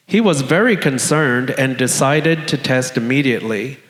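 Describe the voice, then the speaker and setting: Speaking with an American accent, a man at medium pitch talks at a fairly slow pace in a room with audible echo. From South Florida. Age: 60s. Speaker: storyteller living with HIV. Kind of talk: personal testimony read on stage.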